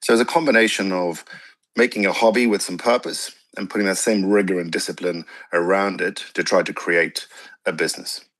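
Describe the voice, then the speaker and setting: A man's fairly low-pitched, ordinary speaking voice at a fairly quick pace, with ordinary pitch variation over a quiet background. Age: 40s. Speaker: racing team co-founder and business executive. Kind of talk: radio interview.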